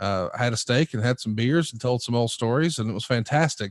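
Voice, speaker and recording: The recording is very clean with a silent background and a dry, close sound with no echo. A man speaks at a moderate pace and medium pitch. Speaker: wrestling podcast host. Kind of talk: casual interview chat. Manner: conversational.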